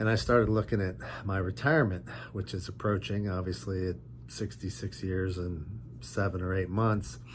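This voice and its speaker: A man's very deep, low voice carries vocal fry and swings very widely in pitch. He speaks at a moderate pace. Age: 60s. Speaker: lawyer and online business vlogger. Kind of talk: casual vlog monologue. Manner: halting, with frequent fillers.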